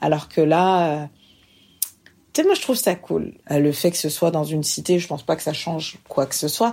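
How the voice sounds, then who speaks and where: Over a silent background in a very clean recording, a woman with a very deep, low, dark and mellow voice speaks at a moderate pace with ordinary pitch variation and long, frequent pauses. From France. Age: 30s. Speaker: interviewee. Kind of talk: personal testimony.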